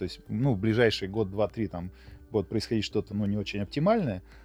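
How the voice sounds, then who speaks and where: A man rattles off his words very fast while music plays in the background. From Russia, Yoshkar-Ola (Mari El). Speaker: IT company owner. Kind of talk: casual interview discussion.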